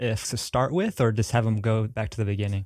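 Recorded very cleanly against a silent background, a man in a strong Southern US accent speaks fairly quickly at a medium pitch with fairly even intonation. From US South. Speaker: podcast host. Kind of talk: casual interview chat.

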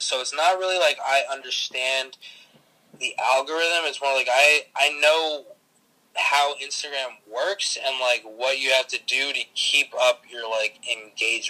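Fairly high in pitch, a man speaks with an American accent at a fairly slow pace. He has an ordinary speaking voice. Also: ordinary pitch variation. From New Jersey, Bergen County. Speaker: social media influencer. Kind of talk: casual interview.

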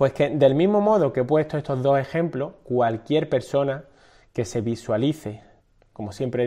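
At a moderate pace, a man talks in a dark, mellow tone with lively intonation. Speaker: fitness coach and podcast host. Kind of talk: casual interview chat. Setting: video call stream.

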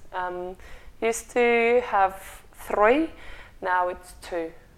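A woman speaks with a Russian accent. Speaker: meditation studio co-founder. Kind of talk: casual chat. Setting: studio. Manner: passionate.

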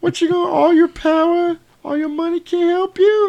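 Putting on a character voice, a man talks in a squeaky, extremely high pitch with monotone, flat intonation. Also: moderate pace. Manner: cocky, taunting.

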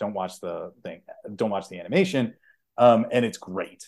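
A man speaks in an ordinary speaking voice. His intonation is lively and his pace is moderate. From Chicago, US Midwest. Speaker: podcast co-host. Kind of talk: casual chat.

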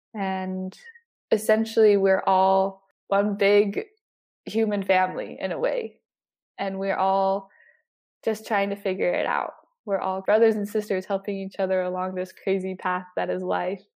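At a fairly slow pace, a woman with a western US accent speaks at a medium pitch in a monotone, flat intonation. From Utah, Salt Lake City area. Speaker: college student. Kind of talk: interview. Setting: studio.

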